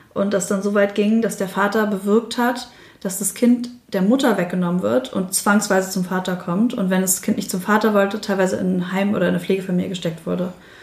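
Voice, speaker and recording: Noticeable noise fills the background. Through it, a woman talks fairly quickly. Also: medium pitch for a woman. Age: 30s. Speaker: single mother. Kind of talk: casual interview.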